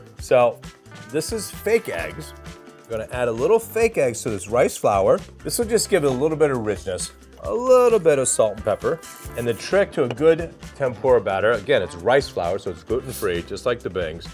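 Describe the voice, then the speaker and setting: Faint music plays in the background. Over it, a man speaks at a moderate pace. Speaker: chef host. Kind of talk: cooking tutorial. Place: studio.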